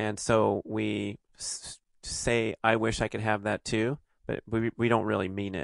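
A man speaks at a fairly slow pace with a Californian accent. The background is quiet. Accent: Californian American. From Los Angeles, US. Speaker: podcast host, author and athlete. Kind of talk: casual chat.

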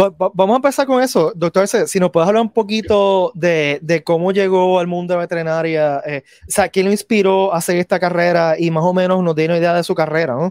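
A man speaks at a very fast pace with hardly any pauses, a high pitch and ordinary pitch variation. His loudness stays very even, and the sound is dry and close with no echo. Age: 40s. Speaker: podcast host. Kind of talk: interview.

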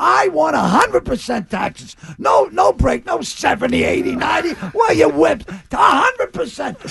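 A man shouts at a fairly slow pace over noticeable background noise. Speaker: radio show regular. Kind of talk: casual chat. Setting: studio.

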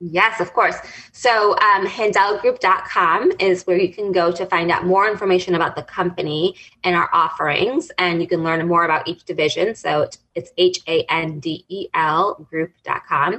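A woman with a plain, everyday voice speaks at a moderate pace and medium pitch with fairly even intonation. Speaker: executive life coach. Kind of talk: radio interview.

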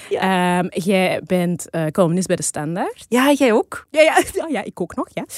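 A woman talks at a medium pitch with lively intonation, in an unremarkable speaking voice. The sound is dry and close, with no echo. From Flanders, Belgium. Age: 30s. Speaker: podcast co-host. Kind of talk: casual chat.

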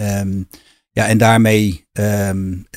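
A man with a fairly low pitch talks with fairly even intonation. The recording is very clean with a silent background and a dry, close sound with no echo. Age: 50s. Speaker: financing specialist, co-founder. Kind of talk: interview. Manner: halting, many fillers and repetitions.

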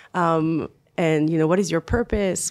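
A woman with a French accent, a fairly low pitch and a moderate pace, in a very clean recording with a silent background. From France. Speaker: management consultant. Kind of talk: interview conversation. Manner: frequent fillers and hesitations.

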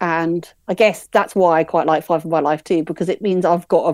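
In a very clean recording with a silent background, a woman with an English accent speaks at a moderate pace and a fairly low pitch. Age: 40s. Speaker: podcast listener. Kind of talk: casual interview.

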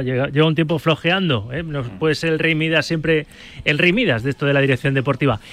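Here a man speaks at a very fast pace. His tone is bright and sharp, with ordinary pitch variation. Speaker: sports radio host. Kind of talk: radio sports talk show.

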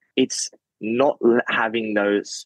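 A man with an Australian accent, fairly low in pitch and very slow, in a dry, close sound with no echo. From Australia, Sydney. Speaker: professional footballer. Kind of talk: casual chat.

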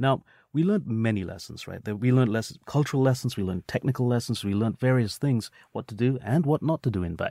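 Very fast and lively, a man speaks at a medium pitch. The recording is very clean with a silent background and a dry, close sound with no echo. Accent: British. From England, UK, with high school in India. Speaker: tech company co-founder. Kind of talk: interview.

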